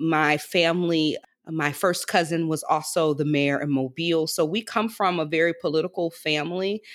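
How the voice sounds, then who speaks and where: With an American accent, a woman speaks in an ordinary speaking voice at fairly low pitch, with fairly even intonation and a moderate pace, in a very clean recording with a silent background. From US South, Alabama Gulf Coast. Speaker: economic justice leader. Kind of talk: interview.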